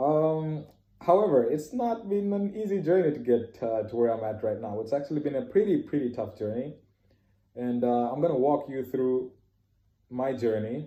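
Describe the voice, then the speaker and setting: Medium in pitch, a man speaks at a moderate pace. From Canada. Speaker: trainee pilot giving testimony. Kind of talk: testimony. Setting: self-made recording. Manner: hesitant, many fillers.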